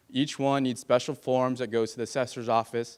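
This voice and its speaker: Speaking with a Californian accent, this man keeps a medium pitch and a monotone, flat intonation at a fairly quick pace. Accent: Californian American. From California, San Fernando Valley. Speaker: political candidate. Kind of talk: campaign speech. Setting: stage with audience.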